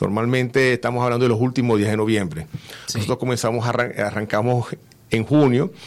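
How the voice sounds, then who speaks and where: With a plain, everyday voice, a man talks at a fairly quick pace. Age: 50s. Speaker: event organizer. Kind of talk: radio interview. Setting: radio studio.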